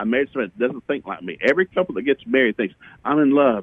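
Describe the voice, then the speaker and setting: A man's voice, fairly high in pitch. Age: 60s. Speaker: minister. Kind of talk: interview. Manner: animated.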